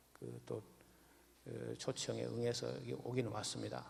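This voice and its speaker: At a fairly slow pace, a man speaks with a strong Gyeongsang accent. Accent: thick Gyeongsang dialect. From Gyeongsang region, Jirisan mountains. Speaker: pastor. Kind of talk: sermon. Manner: halting, many fillers.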